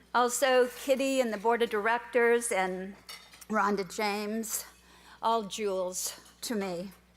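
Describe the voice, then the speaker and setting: Very slowly, a woman with a slight Minnesota accent speaks at a fairly high pitch with ordinary pitch variation. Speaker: award recipient, volunteer. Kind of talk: award acceptance speech. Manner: quiet.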